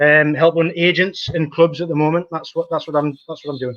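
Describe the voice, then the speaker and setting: A man speaks fairly quickly in a Geordie accent. His fairly high voice stays monotone, with flat intonation. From northern England, Newcastle (Geordie). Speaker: football talent analyst. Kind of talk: podcast interview. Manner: halting, many fillers.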